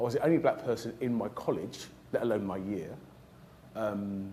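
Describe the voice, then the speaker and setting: In a South London accent, a man with a fairly low pitch and a dark, mellow tone speaks with lively intonation in a room with audible echo. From South London (Lewisham). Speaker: trauma surgeon. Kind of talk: career talk to audience. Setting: stage with audience.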